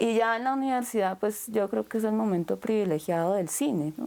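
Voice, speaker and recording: A woman's dark, mellow voice at medium pitch, moderate pace, ordinary pitch variation, very even loudness, hardly any pauses, in a very clean recording with a silent background. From Colombia, Bogotá. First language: Japanese (speaking Spanish). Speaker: filmmaker and anthropologist. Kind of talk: interview.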